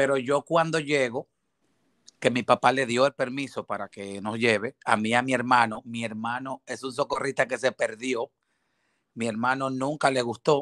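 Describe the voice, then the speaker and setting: The speech comes at a moderate pace with fairly even intonation, in a very clean recording with a silent background and a dry, close sound with no echo. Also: man, medium pitch for a man. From Dominican Republic (Haina, near Santo Domingo). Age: 40s. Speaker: paramedic / rescue worker. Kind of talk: interview. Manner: halting.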